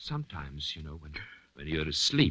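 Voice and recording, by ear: A man uses a put-on character voice at an extremely low pitch, bright and sharp in tone, with big pitch swings. He talks at a moderate pace, and the room echo is audible.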